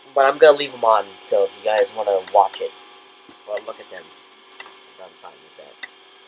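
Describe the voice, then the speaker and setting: This man has a medium pitch and ordinary pitch variation, speaking at a fairly quick pace. Noticeable background noise runs under the recording. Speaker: gaming youtuber. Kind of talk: let's play commentary. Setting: home recording without headphones. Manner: halting, many fillers.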